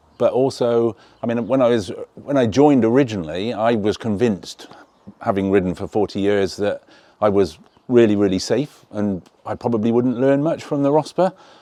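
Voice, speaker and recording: With an English accent, a man speaks at a moderate pace in a dark, mellow tone of medium pitch with ordinary pitch variation. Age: 60s. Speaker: motorcycle riding tutor group member. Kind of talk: interview. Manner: casual, hesitant with fillers.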